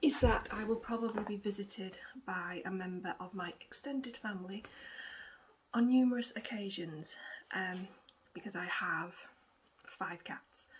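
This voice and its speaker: In an English accent, a woman speaks at a moderate pace with medium pitch and ordinary pitch variation. Her loudness swings widely, and she leaves long, frequent pauses. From England. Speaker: cross-stitch vlogger. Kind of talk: casual vlog chat. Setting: at home with cats. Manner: rambling, hesitant with many ums.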